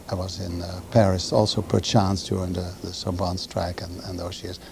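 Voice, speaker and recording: A man's somewhat breathy, dark and mellow voice at a fairly quick pace. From Netherlands, Amsterdam. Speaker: author. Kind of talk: TV interview.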